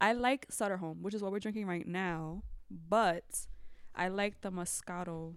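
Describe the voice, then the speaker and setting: At a moderate pace, a woman talks in an unremarkable speaking voice at a medium pitch. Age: 20s. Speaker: teacher. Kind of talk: casual chat.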